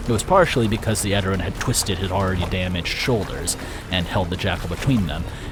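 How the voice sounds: A natural reading voice with ordinary variation in pitch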